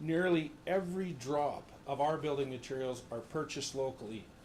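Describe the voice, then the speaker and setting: A man with a Canadian accent at a fairly high pitch, moderate pace and ordinary pitch variation, with audible room echo. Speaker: resident speaking at council meeting, business owner. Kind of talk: public comment at council meeting. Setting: council chamber, full audience.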